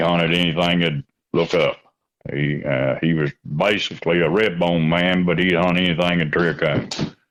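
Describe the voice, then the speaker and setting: At a moderate pace, a man speaks in a very deep, low voice with vocal fry, fairly even intonation, very even loudness, and long, frequent pauses. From Kentucky, Mount Sterling. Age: 60s. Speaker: coon hunter. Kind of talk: casual interview. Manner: halting, many fillers.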